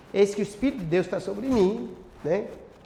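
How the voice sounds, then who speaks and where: A man's high voice comes through with lively intonation. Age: 60s. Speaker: pastor. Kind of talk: bible class teaching. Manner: halting, frequent self-corrections; interactive, question-and-answer with audience.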